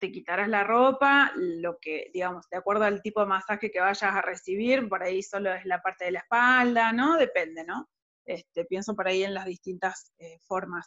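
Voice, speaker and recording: A woman's bright, sharp tone at a moderate pace, with hardly any pauses. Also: medium pitch for a woman, ordinary pitch variation. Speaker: podcast host. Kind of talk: interview. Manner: halting, many repetitions.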